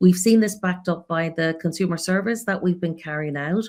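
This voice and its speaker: A woman speaks with an Irish accent at a moderate pace. Her voice sits fairly low, with ordinary pitch variation. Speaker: creative insights expert for a region. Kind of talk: panel discussion in a live webinar.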